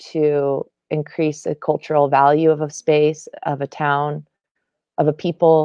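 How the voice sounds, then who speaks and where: A woman at a fairly slow pace with an American accent and a very deep, low pitch, dry with no echo, over a quiet background. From US West. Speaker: entrepreneur; guest. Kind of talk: panel discussion. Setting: video call. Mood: earnest, reflective. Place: home room. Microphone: video call.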